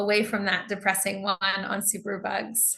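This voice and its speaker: A woman speaks in a medium pitch. She has an American accent. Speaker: English teacher. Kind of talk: online lecture.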